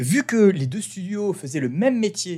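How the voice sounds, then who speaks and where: Very wide pitch swings mark this fairly slow delivery, captured in a very clean recording with a silent background. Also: man. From France. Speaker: podcast host, branding entrepreneur. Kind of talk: casual monologue. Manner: hesitant, many fillers.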